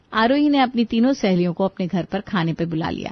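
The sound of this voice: Dry and close with no echo, a woman's medium-pitched voice moves at a moderate pace with lively intonation.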